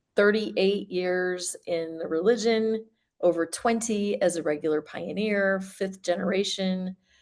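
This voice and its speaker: Against a quiet background, a woman speaks at a fairly slow pace. Her pitch is medium and her intonation fairly even. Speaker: life coach and former religious member. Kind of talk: interview.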